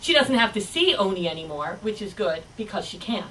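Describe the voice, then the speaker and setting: A woman speaks with ordinary pitch variation. Noticeable background noise runs behind her. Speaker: storyteller. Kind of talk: live storytelling performance. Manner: lively, expressive.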